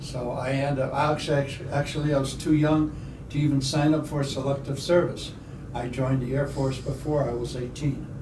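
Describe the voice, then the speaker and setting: A man's medium-pitched voice in an American accent, at a moderate pace, with audible room echo and noticeable background noise. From Chicago area, US Midwest. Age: 70s. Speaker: air force veteran. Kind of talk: oral history interview. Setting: library.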